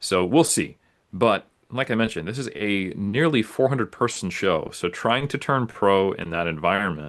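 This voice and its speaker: Over a quiet background, a man with a plain, everyday voice and an American accent speaks at a moderate pace, his fairly low pitch moving with lively intonation. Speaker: natural bodybuilder and coach. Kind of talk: podcast interview.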